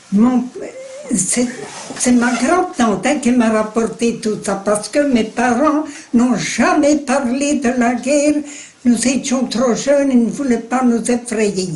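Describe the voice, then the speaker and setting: A woman's high voice at a very slow pace, with very even loudness and ordinary pitch variation, over noticeable background noise. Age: 80s+. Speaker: war witness. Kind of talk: interview answer.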